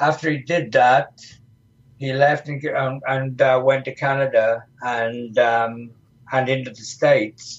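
A man speaks at a very slow pace with an English accent. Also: medium pitch for a man, fairly even intonation. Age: 70s. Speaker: retired professional wrestler. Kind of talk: interview. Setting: studio.

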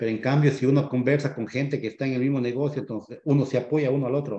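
This man has a medium-pitched voice with a dark, mellow tone and fairly even intonation. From Ecuador. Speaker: real estate investor, former HVAC technician. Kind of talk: podcast interview.

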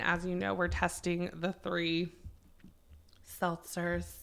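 A woman speaks at a fairly slow pace with a slight Southern US accent, her pitch fairly low and her tone bright and sharp. The recording is very clean, with a silent background. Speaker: podcast host. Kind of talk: casual chat.

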